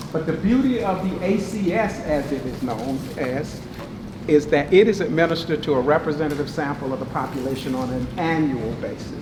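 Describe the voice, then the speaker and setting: A man with a Southern US accent at a fairly high pitch and fairly quick pace, amid noticeable background noise and audible room echo. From eastern North Carolina. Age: 60s. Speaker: professor. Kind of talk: lecture. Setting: meeting room with audience. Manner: animated.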